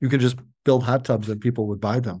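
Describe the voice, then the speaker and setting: A man speaks with an Upper Midwest accent in a dark, mellow tone. His intonation is monotone and flat. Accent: Upper Midwest American. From US Midwest. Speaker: company CEO. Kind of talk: interview. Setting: remote interview from the factory.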